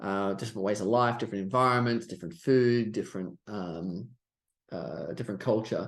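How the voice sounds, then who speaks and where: Against a quiet background, a man with an Australian accent speaks at a fairly low pitch with ordinary pitch variation. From Australia, Sydney. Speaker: stock trader and trading coach. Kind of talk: podcast interview.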